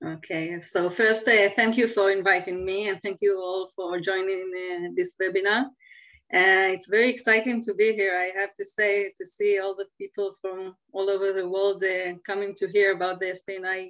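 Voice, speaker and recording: A woman speaks at a moderate pace in a medium pitch. Her intonation stays monotone and flat. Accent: Israeli. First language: Hebrew. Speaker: environmental lobbyist. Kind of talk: webinar interview. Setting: video call from home.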